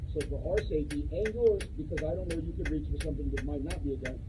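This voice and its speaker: The speech comes at a very fast pace. Loud background noise fills the recording. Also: man. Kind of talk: firm instructions during a stop. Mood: firm, controlled. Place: street.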